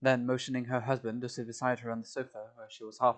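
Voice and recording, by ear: The speaker reads aloud. The voice sounds natural throughout.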